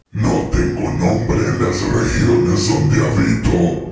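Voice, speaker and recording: Speaking very slowly in a put-on character voice, a man drops to a very deep, low pitch and makes very wide pitch swings, with strong echo and faint music in the background. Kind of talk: horror narration. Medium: read story. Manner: plaintive, impatient, mumbling.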